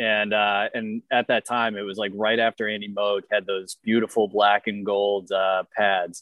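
A man with an American accent has an unremarkable speaking voice at a fairly low pitch. He talks at a fairly slow pace. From Boston. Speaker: amateur hockey goalie. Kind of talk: casual chat.

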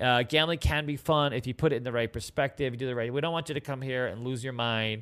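At a very fast pace with hardly any pauses, a man speaks in an animated tone at a medium pitch on a very clean recording with a silent background. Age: 50s. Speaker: livestream host, dealer school owner. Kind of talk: casual livestream chat. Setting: home livestream, cooking dinner.

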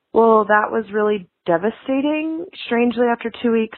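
Using a normal speaking voice, a woman talks at a fairly slow pace with ordinary pitch variation. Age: 30s. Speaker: caller. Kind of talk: voicemail.

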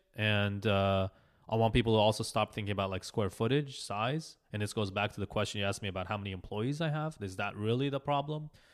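Very fast delivery with ordinary pitch variation, in a very clean recording over a silent background. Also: man, fairly low pitch for a man. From Israel, then Los Angeles from age 7. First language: Hebrew. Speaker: architect. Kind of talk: casual interview. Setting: in a house, in person.

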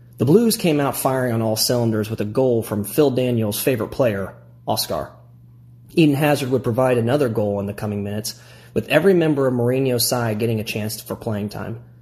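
A man with a Midwestern American accent talks at a fairly quick pace in a somewhat breathy voice. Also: medium pitch for a man, ordinary pitch variation. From US Midwest, Illinois. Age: 30s. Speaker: primary school teacher and fan. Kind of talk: prepared reading of a fan piece.

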